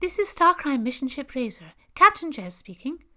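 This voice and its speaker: Using a put-on character voice, a woman projects loudly at a high pitch and a moderate pace, with very wide pitch swings. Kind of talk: professional, formal. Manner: crisp, professional.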